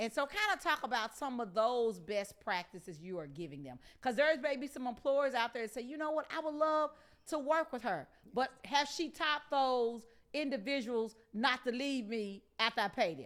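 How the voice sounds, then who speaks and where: Loud and animated, a woman speaks at a high pitch and moderate pace with lively intonation. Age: 50s. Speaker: talk show host. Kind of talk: interview.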